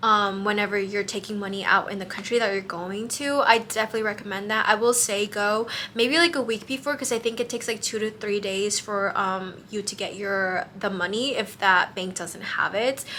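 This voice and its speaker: A woman with an American accent speaks at a fairly quick pace, with hardly any pauses. Her tone is bright and sharp, at a medium pitch with ordinary pitch variation. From US, Mexican American. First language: Spanish. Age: 20s. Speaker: travel vlogger. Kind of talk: casual advice vlog. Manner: casual, many fillers.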